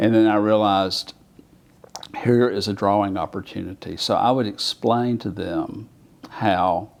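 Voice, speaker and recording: In an Alabama accent, a man with a fairly low pitch talks at a fairly slow pace with fairly even intonation and long, frequent pauses. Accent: deep Alabama. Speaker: artist. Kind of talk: oral history interview. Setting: federal courthouse. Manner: conversational with frequent fillers.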